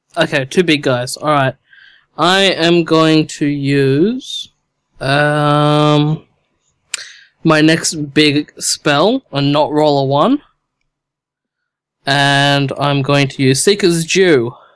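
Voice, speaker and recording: Long, frequent pauses appear throughout. Overall the delivery is very slow. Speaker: tabletop game player. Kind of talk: casual chat.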